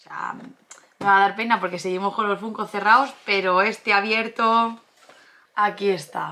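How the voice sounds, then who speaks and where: Bright and sharp, a woman's medium-pitched voice moves at a moderate pace. Her intonation is fairly even, with long, frequent pauses. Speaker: YouTuber, collectibles channel co-host. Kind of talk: casual unboxing chat.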